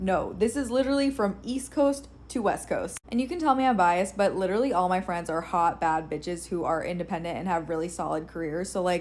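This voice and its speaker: A woman with an ordinary speaking voice, fairly quick and with hardly any pauses, her intonation lively. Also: medium pitch for a woman. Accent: American. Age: 30s. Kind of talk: social media monologue.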